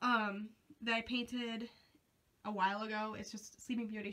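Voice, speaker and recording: A woman talks at a fairly quick pace. Her fairly high voice has a bright, sharp tone. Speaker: craft YouTuber. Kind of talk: room tour vlog. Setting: walking through home basement, handheld camera. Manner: casual, with many ums.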